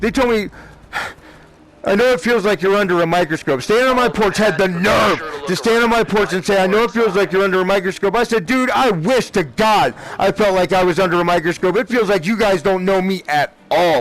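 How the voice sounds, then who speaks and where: Over noticeable background noise, the speaker goes at a fairly quick pace with very even loudness and ordinary pitch variation. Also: man, high pitch for a man. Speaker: gaming streamer. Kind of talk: emotional personal rant during gameplay stream. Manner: emotional, agitated.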